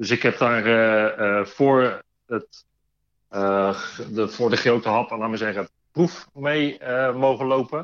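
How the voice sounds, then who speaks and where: This man speaks at a very slow pace. His pitch is medium with ordinary variation. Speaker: train conductor. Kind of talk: interview.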